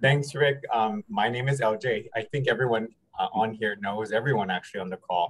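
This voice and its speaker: A man's medium-pitched voice with ordinary pitch variation at a fairly quick pace, in a dry, close sound with no echo. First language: Chamorro. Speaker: volunteer advocate. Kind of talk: casual introduction.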